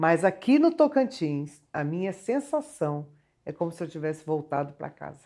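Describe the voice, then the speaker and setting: On a very clean recording with a silent background, a woman with a dark, mellow tone and fairly low pitch talks at a moderate pace, her pitch swinging very widely and her loudness rising and falling sharply. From Rio de Janeiro state, Resende. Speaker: singer. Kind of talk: TV interview. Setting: TV studio.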